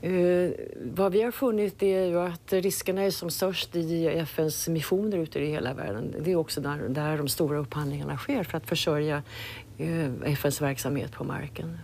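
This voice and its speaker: Her pitch is very deep and low, with a dark, mellow tone at a moderate pace. The sound is dry with no echo, and light background noise is present. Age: 60s. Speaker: UN audit chief. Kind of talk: interview. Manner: halting, repeats words. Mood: calm, measured. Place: office.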